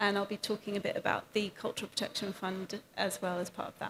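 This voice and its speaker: With a British accent, a woman talks at a fairly quick pace at medium pitch in a monotone, flat way. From France (British parents). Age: 30s. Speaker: arts and culture program manager. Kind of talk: panel discussion. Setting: event room with audience.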